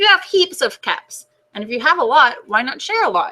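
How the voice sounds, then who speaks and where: Putting on a character voice, a woman swings her pitch very widely. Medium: read story. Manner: reasonable, gently firm.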